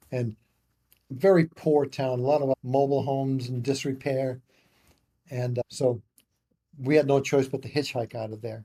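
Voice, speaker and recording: At a moderate pace, a man with a medium pitch and a dark, mellow tone speaks somewhat breathily with fairly even intonation and long, frequent pauses, recorded dry and close with no echo. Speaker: memoir co-author. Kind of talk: storytelling interview. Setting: podcast interview. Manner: casual, halting with repetitions.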